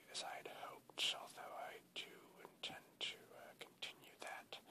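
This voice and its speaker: Someone whispers at a moderate pace. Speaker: ASMR creator. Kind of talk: ASMR whispered rambling to camera. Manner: whispered.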